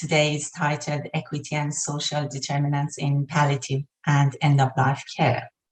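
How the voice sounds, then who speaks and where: This woman speaks with an Iranian accent. Her voice is somewhat breathy. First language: Persian. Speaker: health researcher. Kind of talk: lecture.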